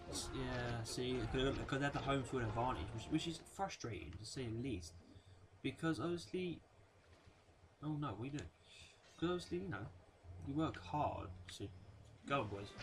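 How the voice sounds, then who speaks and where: A man speaks at a moderate pace in a medium pitch, his voice somewhat breathy with very wide pitch swings. Long, frequent pauses break up his speech, and audible room echo surrounds it. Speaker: gaming youtuber. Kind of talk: gameplay commentary. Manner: halting, many fillers.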